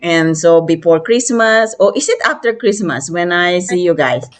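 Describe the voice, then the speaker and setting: At a moderate pace, a woman of medium pitch speaks with a Filipino accent and lively intonation. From Philippines. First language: Filipino language. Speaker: interview host. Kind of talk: casual interview chat. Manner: hesitant, many fillers.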